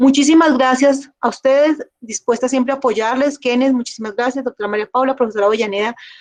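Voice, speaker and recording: A woman's high voice, very fast, with hardly any pauses and fairly even intonation, in a dry, close sound with no echo. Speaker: government environmental official, speaker. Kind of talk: closing remarks after lecture.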